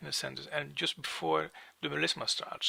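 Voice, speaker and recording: A man is speaking. He has a non-native accent. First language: not English. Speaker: music software tutor. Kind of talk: tutorial. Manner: halting.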